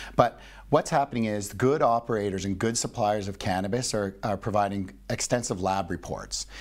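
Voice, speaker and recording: An unremarkable speaking voice from a man with a Canadian accent, fairly low in pitch, with ordinary pitch variation at a moderate pace and a quiet background. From Canada. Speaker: business executive and investor; guest. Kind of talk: interview. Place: studio. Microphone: lapel.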